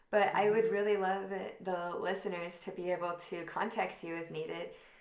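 Using an ordinary speaking voice, a woman speaks at a moderate pace and medium pitch with fairly even intonation. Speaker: podcast host. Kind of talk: casual interview chat.

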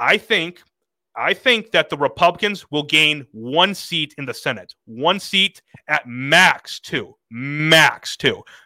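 Here a man speaks at a very slow pace with a fairly high pitch, a bright, sharp tone and lively intonation. The sound is dry and close, with no echo. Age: 20s. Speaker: podcast host. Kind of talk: casual chat.

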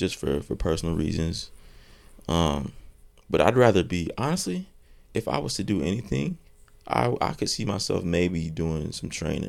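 The speaker, with an American accent, uses lively intonation at a moderate pace, leaving long, frequent pauses. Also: man, very deep, low pitch for a man. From North Carolina, Thomasville. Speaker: college basketball player. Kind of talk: casual chat.

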